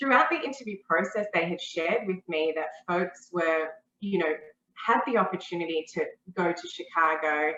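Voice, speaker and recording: A woman speaks with an Australian accent at a moderate pace. Her pitch is fairly low. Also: lively intonation. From Australia, Melbourne. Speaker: talent acquisition manager. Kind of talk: interview.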